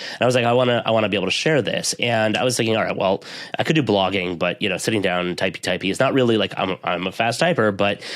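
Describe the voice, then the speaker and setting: Very fast speech with an American accent and ordinary pitch variation comes through noticeable background noise. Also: man, fairly low pitch for a man. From US East Coast. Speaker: IT professional and podcaster. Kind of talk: interview conversation.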